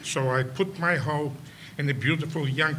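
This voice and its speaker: With audible room echo, a man speaks fairly slowly in a bright, sharp tone, a fairly high pitch and ordinary pitch variation. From Poland. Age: 90s. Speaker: Holocaust survivor and educator. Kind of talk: prepared speech. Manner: halting.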